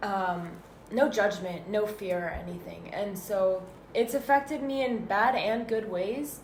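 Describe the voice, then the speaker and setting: Audible room echo accompanies speech at a fairly slow pace with ordinary pitch variation. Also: woman, medium pitch for a woman. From Northern California (Danville, East Bay). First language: Arabic. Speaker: student podcaster. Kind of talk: casual chat. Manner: halting.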